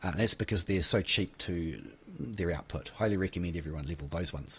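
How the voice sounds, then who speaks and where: A man with a New Zealand accent speaks at a fairly quick pace in a somewhat breathy voice against a quiet background. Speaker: gaming YouTuber. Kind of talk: game tutorial. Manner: casual, hesitant with fillers.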